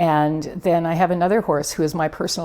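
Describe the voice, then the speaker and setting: A woman with a western Canadian accent speaks at a fairly quick pace in a fairly low voice. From Canada, Prince George area, British Columbia. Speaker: equine therapist. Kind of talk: interview. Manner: animated.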